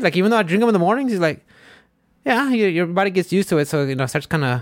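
In a very clean recording with a silent background, a man speaks at a very fast pace. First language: Spanish. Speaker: podcast host. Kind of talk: casual chat. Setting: studio.

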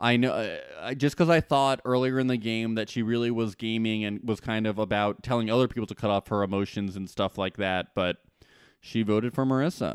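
A man with an American accent and an ordinary speaking voice, medium pitch, ordinary pitch variation and a fairly quick pace, in a very clean recording with a silent background and a dry, close sound with no echo. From New Jersey. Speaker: celebrity podcast co-host. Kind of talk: casual chat.

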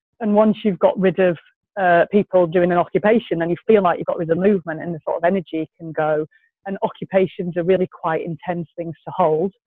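With an English accent, a woman speaks at a fairly quick pace and a fairly low pitch, her intonation fairly even but her loudness swinging widely. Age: 40s. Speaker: climate activist. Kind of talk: interview.

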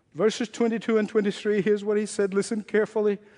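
Speaking at a fairly quick pace, a man with a high pitch has a dark, mellow tone. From Egypt. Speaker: pastor. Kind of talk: sermon.

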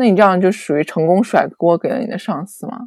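This woman has an ordinary speaking voice at medium pitch. She talks at a fairly quick pace with lively intonation. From China. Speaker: podcast guest, former worker abroad. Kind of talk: casual chat.

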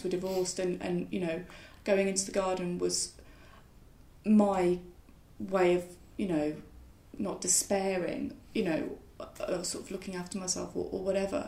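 The voice has a dark, mellow tone with vocal fry. Its pitch varies in an ordinary way. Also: woman. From West Midlands, England (Solihull, near Birmingham). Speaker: wildlife gardener and writer. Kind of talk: casual interview conversation. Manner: hesitant, many fillers and restarts.

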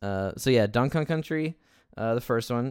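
A man's fairly quick, lively-toned speech on a very clean recording with a silent background. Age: 30s. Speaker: podcast host. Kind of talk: casual chat. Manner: halting, many false starts.

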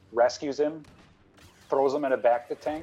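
A man's voice shows ordinary pitch variation, with noticeable background noise behind it. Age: 40s. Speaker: underground film screening organizer. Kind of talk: casual chat.

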